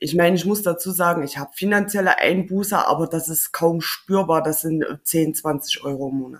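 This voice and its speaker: In a plain, everyday voice, a woman talks at a moderate pace with hardly any pauses. Her pitch is fairly low, with ordinary pitch variation. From Thuringia, Germany. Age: 30s. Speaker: maintenance technician. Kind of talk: interview.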